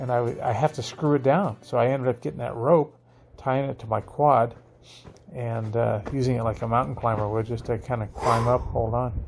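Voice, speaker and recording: On a very clean recording with a silent background, a somewhat breathy man talks at a moderate pace with ordinary pitch variation. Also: medium pitch for a man. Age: 60s. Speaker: DIY homesteader building a chicken coop. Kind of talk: casual video progress report. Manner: casual, with many fillers and repetitions.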